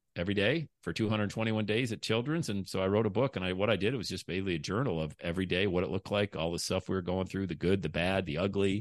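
A man speaks at a very fast pace with hardly any pauses, his pitch fairly low. His pitch varies in an ordinary way against a quiet background. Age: 50s. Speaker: podcaster and motivational speaker. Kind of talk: interview. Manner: animated.

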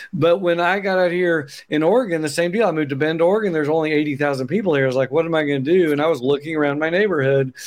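This man talks very fast, with hardly any pauses and very even loudness. He has an Oklahoma accent and ordinary pitch variation. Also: fairly high pitch for a man. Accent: Oklahoman. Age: 50s. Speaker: accountant and business founder. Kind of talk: casual interview chat.

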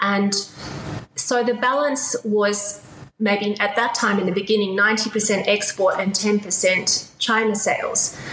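Over noticeable background noise, a woman with an Australian accent speaks at a very slow pace and medium pitch. Her intonation is fairly even and her loudness very even. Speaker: business advisor and entrepreneur. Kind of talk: interview. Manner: halting.

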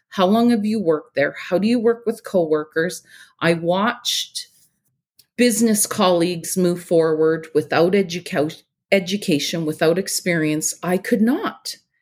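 A Canadian Prairies accent at a moderate pace, with ordinary pitch variation, in a very clean recording with a silent background. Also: woman, medium pitch for a woman. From Saskatchewan, Canada. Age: 40s. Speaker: beekeeper and entrepreneur. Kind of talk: personal testimony in interview.

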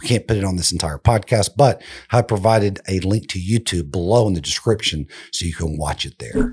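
Speaking at a fairly quick pace, a man with a fairly low pitch sounds somewhat breathy and uses ordinary pitch variation. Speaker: podcast producer. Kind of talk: scripted introduction.

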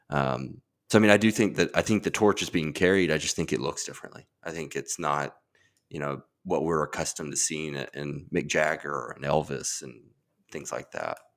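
A man with an American accent and a very deep, low pitch, vocal fry, fairly quick pace, ordinary pitch variation and big swings in loudness, on a very clean recording with a silent background. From US South, Mississippi. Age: 30s. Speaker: podcaster. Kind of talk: casual chat.

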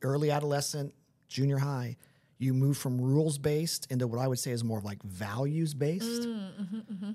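A man's fairly high, dark, mellow voice with lively intonation at a moderate pace. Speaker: podcast host. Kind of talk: casual chat. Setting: studio.

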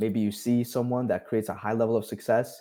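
In a very clean recording with a silent background, a man of medium pitch speaks very fast in a Spanish accent with a dark, mellow tone. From Colombia. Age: 30s. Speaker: business and performance coach. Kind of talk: podcast interview.

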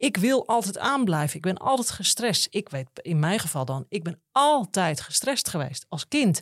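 In a very clean recording with a silent background and a dry, close sound with no echo, a woman speaks somewhat breathily at a fairly slow pace, with very wide pitch swings and hardly any pauses. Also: medium pitch for a woman. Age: 40s. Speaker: podcast host and detox coach. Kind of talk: interview.

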